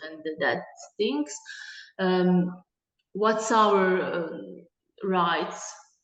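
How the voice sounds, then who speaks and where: Speaking very slowly with a Bosnian accent, a woman keeps her intonation fairly even and leaves long, frequent pauses, her voice carrying audible room echo. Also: medium pitch for a woman. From Bosnia and Herzegovina. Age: 20s. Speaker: conceptual artist and gallery director. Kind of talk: guest lecture discussion. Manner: halting, many hesitations.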